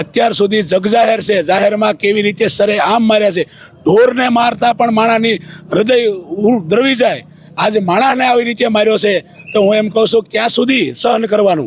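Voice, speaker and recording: Noticeable background noise runs under a man's high voice. His pitch varies in an ordinary way. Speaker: community leader. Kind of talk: street interview.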